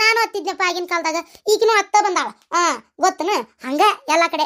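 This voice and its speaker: A woman is speaking. Her pitch is extremely high. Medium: read story. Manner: blunt, scolding, folksy.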